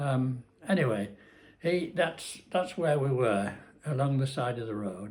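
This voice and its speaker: A man with a Cumbrian accent, somewhat breathy, at a medium pitch with very wide pitch swings and a fairly slow pace. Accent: northern English (Cumbrian). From Cumbria, England. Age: 80s+. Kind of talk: casual talk to camera, life story vlog. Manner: hesitant, rambling.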